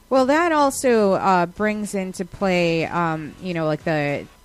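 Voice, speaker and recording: A woman talks very slowly. Music can be heard behind her. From New York, Westchester. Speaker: podcast host. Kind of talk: casual chat.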